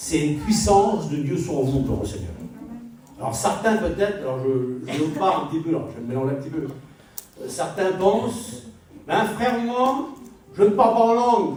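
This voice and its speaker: A man speaks at a moderate pace with very wide pitch swings. Noticeable background noise and audible room echo fill the recording. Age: 60s. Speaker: preacher. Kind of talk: sermon.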